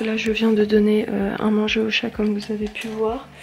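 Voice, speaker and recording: Soft-spoken and fairly high-pitched, a woman talks at a moderate pace over noticeable background noise. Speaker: vlogger. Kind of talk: vlog chat. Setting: at home late at night. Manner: hesitant, many fillers.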